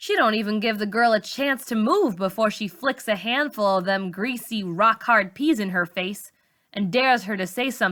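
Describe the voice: Over a quiet background, plain reading aloud with ordinary pitch variation.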